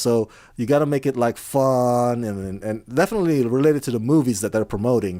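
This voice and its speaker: A man with an Indonesian accent speaks at a medium pitch and a moderate pace with lively intonation and a dark, mellow tone, on a very clean recording with a silent background. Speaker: film critic and entertainment interviewer. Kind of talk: casual interview.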